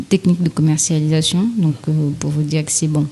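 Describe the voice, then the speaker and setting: This is a woman's voice. Its pitch is fairly low. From Mayotte. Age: 30s. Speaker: education researcher, PhD. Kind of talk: interview. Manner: hesitant, many fillers.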